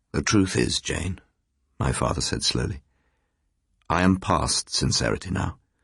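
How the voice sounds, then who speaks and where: A man's very deep, low voice with vocal fry and lively intonation, a fairly slow pace, long, frequent pauses, and a quiet background. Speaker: professional audiobook reader. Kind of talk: radio drama reading of a ghost story. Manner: narrates and voices several characters in dialogue: a young woman, a moody father.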